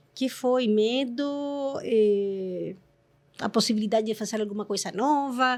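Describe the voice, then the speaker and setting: A woman with a Chilean accent speaks at a fairly slow pace and a fairly high pitch, with ordinary pitch variation. The recording is very clean, with a silent background. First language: Spanish (speaking Portuguese). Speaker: corporate executive. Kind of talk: casual chat.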